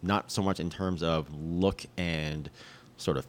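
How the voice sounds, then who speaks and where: This man's voice sits very deep and low. Vocal fry runs through his speech. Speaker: cycling podcast host. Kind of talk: casual banter, tech discussion. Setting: on location in Sedona.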